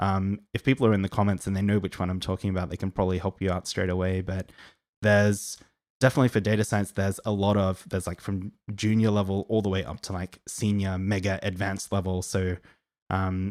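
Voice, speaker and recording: A man's fairly low, monotone voice with an Australian accent, very fast, in a dry, close sound with no echo on a very clean recording with a silent background. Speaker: data science educator. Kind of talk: live Q&A stream. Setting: live stream. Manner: casual, filler-heavy.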